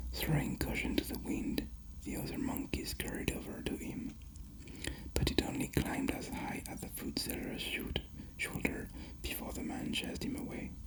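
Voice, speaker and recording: Whispered words come at a moderate pace, with noticeable noise in the background. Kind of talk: bedtime story reading. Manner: whispered, soft.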